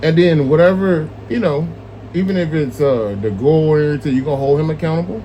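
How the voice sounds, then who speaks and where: A man speaks fairly quickly at a fairly high pitch, his intonation lively. The room echo is audible, and there is noticeable background noise. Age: 40s. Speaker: street interviewer. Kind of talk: street interview. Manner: animated.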